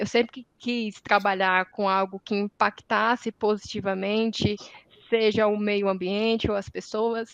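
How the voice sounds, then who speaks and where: A woman speaks in a Ceará accent at a medium pitch, her intonation monotone and flat. The sound is dry and close, with no echo. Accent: Northeastern Brazilian (Ceará). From Northeast Brazil, Ceará. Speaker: environmental engineer, industry sustainability manager. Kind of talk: panel discussion. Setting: academic symposium round table.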